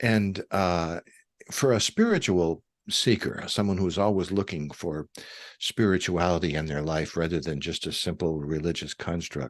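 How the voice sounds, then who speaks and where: With a very deep, low pitch and ordinary pitch variation, a man talks at a moderate pace in a dry, close sound with no echo and a quiet background. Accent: Midwestern American. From US Midwest, suburban Detroit. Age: 70s. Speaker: author and retired minister. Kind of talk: interview conversation. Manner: hesitant, many fillers.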